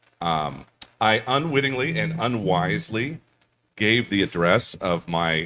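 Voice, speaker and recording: Loud and bright, a man's sharp tone comes through at a very slow pace. The recording is very clean and the background silent. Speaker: panel moderator and author. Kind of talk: convention panel discussion.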